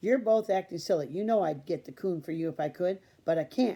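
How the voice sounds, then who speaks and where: A gruff, put-on character voice at a middle pitch moves along at a fairly quick pace. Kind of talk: firm and scolding.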